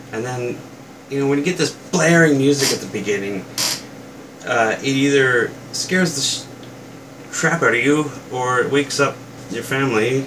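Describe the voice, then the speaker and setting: Noticeable background noise sits behind a man with a fairly high pitch. He talks at a moderate pace with long, frequent pauses. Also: ordinary pitch variation. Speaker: toy reviewer youtuber. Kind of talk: casual rant to camera. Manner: soft-spoken, quiet; hesitant, many fillers.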